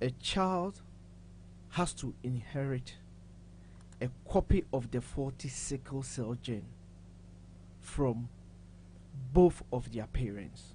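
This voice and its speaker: Very slow and marked by long, frequent pauses, a man's somewhat breathy speech has a medium pitch, a dark, mellow tone and lively intonation. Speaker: pharmacist. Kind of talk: health explanation on a talk show.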